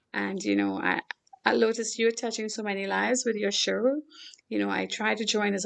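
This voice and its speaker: A woman with a Caribbean accent speaks at a fairly quick pace. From Trinidad and Tobago. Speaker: philanthropist. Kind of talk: talk show interview.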